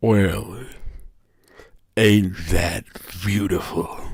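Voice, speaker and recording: A man puts on a character voice, pitched fairly low. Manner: mocking, sinister.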